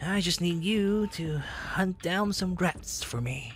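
Over clear background music, a put-on character voice at a middle pitch moves at a fairly slow pace. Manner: smooth, persuasive, menacing.

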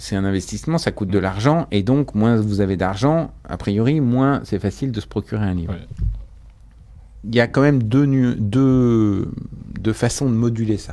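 This is a man with a fairly low pitch. His tone is dark and mellow. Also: ordinary pitch variation, fairly slow pace. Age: 50s. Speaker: bookseller and business owner; bookseller. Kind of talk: radio interview. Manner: hesitant, with frequent fillers. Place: studio. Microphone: studio mic.

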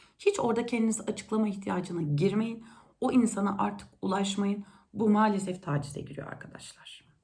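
In a dark, mellow, somewhat breathy voice, the woman talks at a moderate pace. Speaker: youtuber. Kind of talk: casual monologue.

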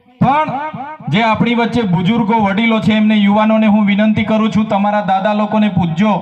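A man with a high pitch keeps a very even loudness amid audible room echo and noticeable background noise. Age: 30s. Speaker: legislator. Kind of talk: political rally speech. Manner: animated.

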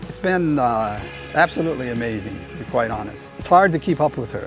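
Over clear background music, a man talks at a fairly quick pace with lively intonation. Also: dry sound with no echo. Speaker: walking companion of a marathon runner. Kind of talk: interview answer. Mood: warm, admiring. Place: garden. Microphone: lapel.

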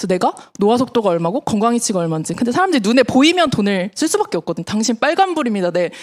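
A woman at a very fast pace, fairly high pitch with very wide swings, dry, close sound with no echo, and noticeable background noise. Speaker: network marketing distributor. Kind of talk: business presentation to audience.

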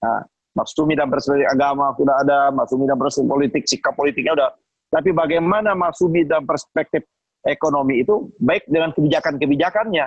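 Very even in loudness, a man talks at a very fast pace in a fairly high pitch. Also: ordinary pitch variation, quiet background, dry sound with no echo. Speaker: Islamic organization activist. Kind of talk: panel discussion. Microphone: video call.

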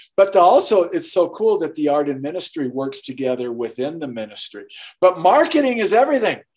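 This man has a high pitch. His voice swings very widely in pitch. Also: fairly quick pace, quiet background. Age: 60s. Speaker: artist and author; podcast guest. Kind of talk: interview. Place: home room. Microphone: video call.

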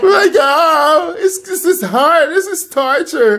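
A man puts on a whiny character voice at an extremely high pitch, speaking at a very slow pace. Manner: mocking, whining.

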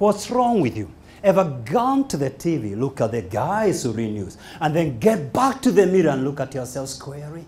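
In a Kenyan accent, the speaker moves at a moderate pace with very wide pitch swings. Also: man. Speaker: motivational speaker. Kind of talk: motivational speech. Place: hall. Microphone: handheld.

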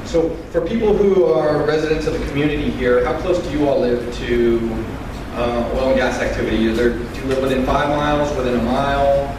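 Amid noticeable background noise and audible room echo, a man speaks with ordinary pitch variation. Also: fairly quick pace. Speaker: presenter. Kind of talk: public presentation. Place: hall.

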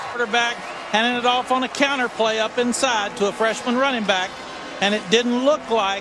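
An animated man projects a raised voice at an extremely high pitch, keeping a moderate pace and very even loudness. Noticeable background noise can be heard. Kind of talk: live commentary. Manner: animated, urgent analyst.

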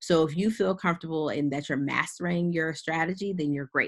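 A woman's voice with ordinary pitch variation, in a quiet background. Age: 30s. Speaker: investment educator, company founder; investment educator. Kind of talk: webinar presentation. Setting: online webinar. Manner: casual, with many fillers. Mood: casual, explanatory. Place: home room.

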